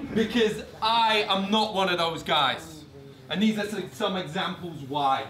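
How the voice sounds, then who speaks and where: Very slow speech with ordinary pitch variation over noticeable background noise. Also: man, high pitch for a man. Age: 30s. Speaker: spoken word poet. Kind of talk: casual introduction to live audience. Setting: live venue.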